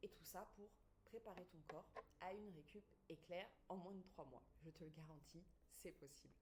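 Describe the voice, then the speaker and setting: A woman speaks at a fairly low pitch with vocal fry and an animated tone. Long pauses come often. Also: ordinary pitch variation, moderate pace. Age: 40s. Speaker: pregnancy and postpartum fitness coach. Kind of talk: online masterclass presentation.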